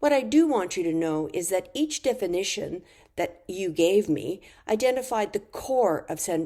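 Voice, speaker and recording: In a very clean recording with a silent background, a woman with a medium-pitched, dark, mellow voice speaks at a moderate pace, her pitch swinging very widely. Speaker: university lecturer. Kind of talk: narrated lecture slides. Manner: formal.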